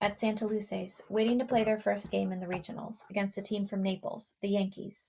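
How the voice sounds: This is a natural reading voice with fairly even intonation. The background is quiet.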